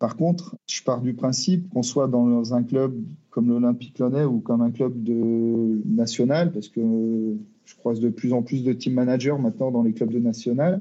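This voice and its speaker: At a moderate pace, a man of medium pitch speaks with a dark, mellow tone and ordinary pitch variation. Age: 40s. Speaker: football team manager. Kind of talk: interview. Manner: halting, with repetitions and hesitations.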